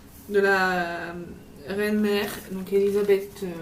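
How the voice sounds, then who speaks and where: A woman speaks at medium pitch in a monotone, flat intonation. There is audible room echo and noticeable background noise. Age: 20s. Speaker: vlogger. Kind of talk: travel vlog haul talk. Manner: casual, hesitant with many fillers.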